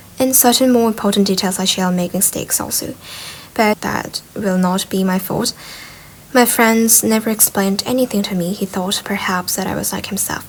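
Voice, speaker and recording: Behind noticeable background noise, a woman speaks at medium pitch and moderate pace with fairly even intonation. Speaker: ASMR reader of a book, sleep aid. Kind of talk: soft ASMR-style audiobook reading for sleep.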